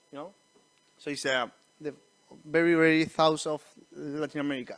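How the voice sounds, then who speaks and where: A man speaks with a Spanish accent. The recording is very clean, with a silent background. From Chile. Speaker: missionary church planter. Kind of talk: church presentation. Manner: halting, with many restarts.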